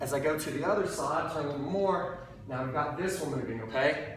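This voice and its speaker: A man speaks at a moderate pace with ordinary pitch variation. Audible room echo and light background noise can be heard. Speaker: fitness trainer. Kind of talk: tutorial. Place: gym. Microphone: camera far.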